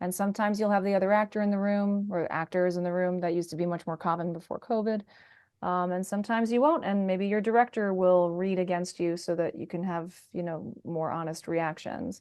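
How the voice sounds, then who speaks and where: A woman talks at a fairly quick pace in an ordinary speaking voice, with medium pitch and fairly even intonation. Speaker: voice actor. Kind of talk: interview answer.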